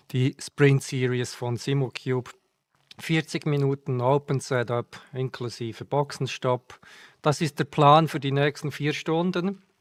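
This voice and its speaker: Speaking at a very slow pace with a Swiss German accent, the voice keeps a fairly even intonation. The recording is very clean, with a silent background and a dry, close sound with no echo. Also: man, fairly high pitch for a man. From Switzerland. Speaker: sim racing streamer. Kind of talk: live stream commentary. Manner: halting, with fillers.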